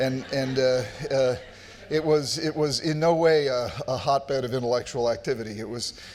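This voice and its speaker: A man's fairly high voice with an American accent and ordinary pitch variation. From US Northeast (New England). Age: 60s. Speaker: psychiatrist and author. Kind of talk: conference talk. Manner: repetitive, halting restarts.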